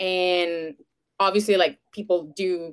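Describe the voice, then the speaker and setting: A woman's fairly low-pitched voice with a Venezuelan accent. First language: Spanish. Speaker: podcaster. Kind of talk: casual interview. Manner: giggly.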